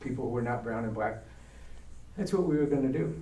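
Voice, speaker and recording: In an American accent, the speaker is heard with audible room echo and noticeable background noise. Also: man. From New York, Brooklyn. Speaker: diversity educator, retired teacher. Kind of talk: talk to church adult education class. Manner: animated storytelling.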